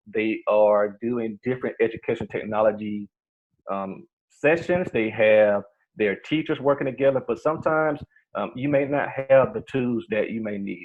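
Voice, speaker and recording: A man talks in a plain, everyday voice at a moderate pace, with medium pitch and ordinary pitch variation. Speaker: workshop trainer for educators. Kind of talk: online workshop presentation. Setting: video call.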